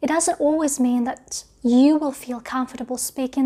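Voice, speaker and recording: A woman with a British accent speaks at a high pitch in a dark, mellow tone. Her intonation is flat and monotone. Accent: British English accent, learned. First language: not English. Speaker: English teacher. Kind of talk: video tutorial.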